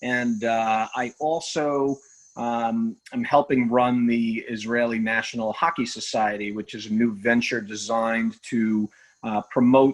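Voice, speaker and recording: At a fairly slow pace, a man with a New York accent speaks at a medium pitch with fairly even intonation. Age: 40s. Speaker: attorney and former hockey player. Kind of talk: podcast interview.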